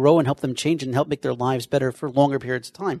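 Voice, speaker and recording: A man's dark, mellow tone at fairly high pitch, with ordinary pitch variation and a dry, close sound with no echo. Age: 40s. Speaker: podcast host. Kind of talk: interview. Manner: animated.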